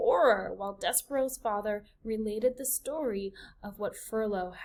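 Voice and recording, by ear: The pitch shifts in an ordinary way. The delivery is reading aloud in a natural voice.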